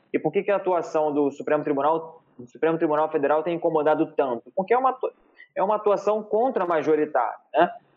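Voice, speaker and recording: Here a man speaks at a very fast pace with lively intonation. His pitch is fairly high. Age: 30s. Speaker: lawyer. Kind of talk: interview.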